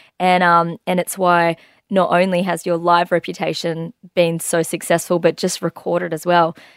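A woman speaks in a fairly low, flat monotone with an Australian accent. The sound is dry and close, with no echo. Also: moderate pace, very clean recording, silent background. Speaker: radio host. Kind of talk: casual interview.

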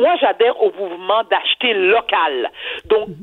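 Animated and fairly slow, a woman speaks at a fairly high pitch with very wide pitch swings. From Quebec. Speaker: TV personality, columnist. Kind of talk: opinion commentary.

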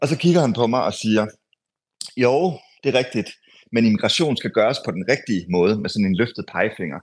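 A man's medium-pitched voice at a fairly quick pace, with lively intonation, long and frequent pauses, and a quiet background. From Denmark. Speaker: foreign correspondent. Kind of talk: radio interview. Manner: halting, many filler sounds.

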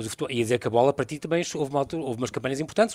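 A man speaks with ordinary pitch variation. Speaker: radio host. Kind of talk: radio interview. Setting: live broadcast from a venue.

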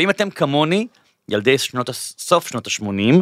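A man speaks in a bright, sharp voice at a fairly high pitch. The recording is very clean and dry, close with no echo and a silent background. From Israel, Bat Yam. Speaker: podcast host. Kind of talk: interview; scripted intro. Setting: studio.

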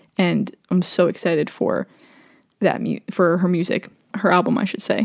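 On a very clean recording with a silent background, a woman of medium pitch speaks with vocal fry. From Long Island, New York. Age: 20s. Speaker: podcast host, college radio DJ. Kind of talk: casual solo podcast monologue. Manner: fast, rambling with many fillers.

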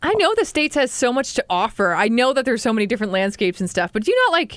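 A woman with a fairly high pitch, an animated tone and a Canadian accent. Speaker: podcast co-host. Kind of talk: casual chat. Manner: animated, joking.

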